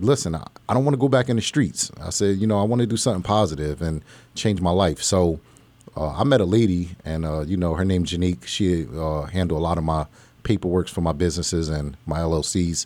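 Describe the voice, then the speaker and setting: Speaking with an American accent, a man has a very deep, low pitch. He talks at a fairly quick pace with lively intonation. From New Jersey, grew up partly in Pennsylvania. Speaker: entrepreneur. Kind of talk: interview. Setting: studio.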